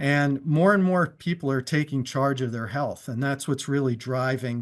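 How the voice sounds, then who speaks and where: Here is an ordinary speaking voice from a man, fairly high in pitch with ordinary pitch variation. He goes at a moderate pace on a very clean recording with a silent background. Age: 60s. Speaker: business presenter. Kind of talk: sales pitch; testimony.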